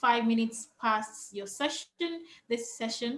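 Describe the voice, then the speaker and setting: A woman speaks at a fairly slow pace with a Yoruba accent. Her voice is high-pitched, with a bright, sharp tone. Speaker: panel moderator. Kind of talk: moderated panel discussion. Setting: video call.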